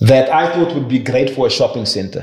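A man's somewhat breathy, medium-pitched voice amid audible room echo. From South Africa. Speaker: property investor and banker; podcast guest. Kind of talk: interview conversation. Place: office.

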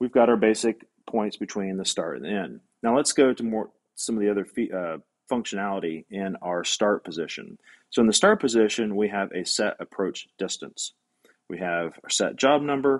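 This man has an unremarkable speaking voice with a fairly low pitch and ordinary pitch variation. He talks at a moderate pace. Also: quiet background. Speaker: robot welding instructor. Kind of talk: tutorial. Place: workshop.

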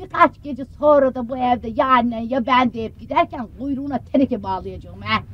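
At a moderate pace, a woman talks in a dry sound with no echo. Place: booth.

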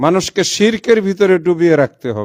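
Intonation here is lively. The recording is very clean, with a silent background. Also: man. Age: 60s. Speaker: professor and Islamic organization leader. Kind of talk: public statement.

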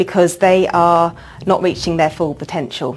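A woman with a fairly low pitch at a moderate pace. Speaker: charity representative. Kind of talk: interview. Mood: calm, earnest. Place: hall.

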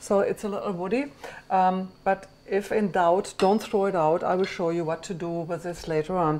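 There is a little noise in the background. A woman keeps a moderate pace, her intonation fairly even. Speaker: cooking show host chef. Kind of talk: tutorial. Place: kitchen.

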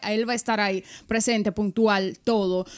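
The voice belongs to a woman with a fairly high pitch. The background is quiet. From Dominican Republic. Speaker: radio and podcast host; radio, podcast host. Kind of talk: casual interview. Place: studio. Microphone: studio mic.

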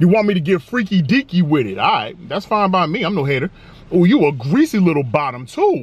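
Energetic and playful, the speech moves at a fairly quick pace in a dry sound with no echo. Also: man, high pitch for a man. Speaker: food reviewer. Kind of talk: casual food review to camera. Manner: energetic, playful. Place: car.

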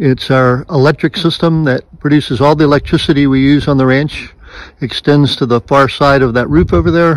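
A man at a moderate pace, with very even loudness, ordinary pitch variation and a dry sound with no echo. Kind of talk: casual tour narration. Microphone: phone near.

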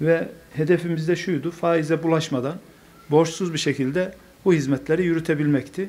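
The man's voice sits at a fairly high pitch with fairly even intonation. He keeps a moderate pace. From Turkey, Konya; Turkey. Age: 50s. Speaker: mayor. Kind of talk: speech to an association; formal speech at meeting. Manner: hesitant, many fillers. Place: meeting room. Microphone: podium.

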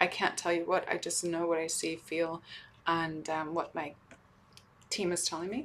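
The voice is monotone with flat intonation. Light background noise can be heard. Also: woman, fairly low pitch for a woman, moderate pace. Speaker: spiritual channeler. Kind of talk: channeled spiritual talk to camera. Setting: hotel room. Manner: halting, many fillers. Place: home room. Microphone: webcam.

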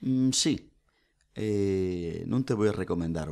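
A dark, mellow tone with lively intonation comes through in a very clean recording with a silent background. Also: man. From Asturias, Spain (lower Nalón area). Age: 40s. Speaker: folk singer, nurse and oral tradition researcher. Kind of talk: casual chat. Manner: animated.

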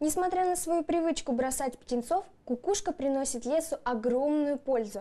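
With a dark, mellow tone, a woman speaks at a high pitch with ordinary pitch variation and a moderate pace.

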